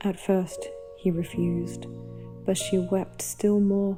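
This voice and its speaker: A woman with an Australian accent speaks in a calm tone. Music plays in the background. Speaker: storyteller. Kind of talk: sleep story. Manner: calm, soft-spoken.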